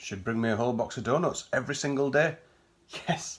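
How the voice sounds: What we hear is a natural reading voice.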